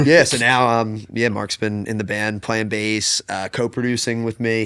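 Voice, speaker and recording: A plain, everyday voice with an American accent, fairly even intonation and a moderate pace. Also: man. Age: 20s. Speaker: singer-songwriter. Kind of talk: casual interview chat. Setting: sitting on a futon, recorded session.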